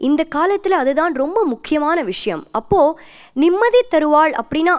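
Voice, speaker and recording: Behind the voice, the background is quiet. The speaker is a woman. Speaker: TV speaker. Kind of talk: devotional storytelling talk. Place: studio. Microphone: handheld.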